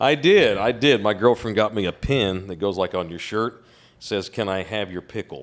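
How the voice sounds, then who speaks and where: A man with a Texan accent speaks at a moderate pace and a fairly low pitch, with ordinary pitch variation. The recording is very clean, with a silent background. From Texas. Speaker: sports media personality. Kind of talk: casual chat.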